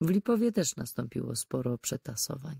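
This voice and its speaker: Dry and close with no echo, the very clean recording against a silent background captures a woman's fairly low voice, dark and mellow in tone, at a moderate pace. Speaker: audiobook narrator. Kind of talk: audiobook reading of a crime novel.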